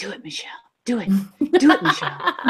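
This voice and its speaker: A woman with a fairly high pitch, a bright, sharp tone and very wide pitch swings. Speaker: beauty vlogger. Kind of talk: casual chat. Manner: loud.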